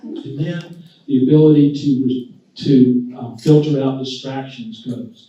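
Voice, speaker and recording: A man's dark, mellow, somewhat breathy voice at a very slow pace, with big swings in loudness. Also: medium pitch for a man, ordinary pitch variation. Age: 70s. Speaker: physician speaker. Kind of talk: talk to a luncheon audience. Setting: luncheon audience. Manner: conversational, with many fillers.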